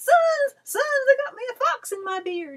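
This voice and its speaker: A woman puts on a squeaky character voice at an extremely high pitch. Her loudness swings widely. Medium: read story.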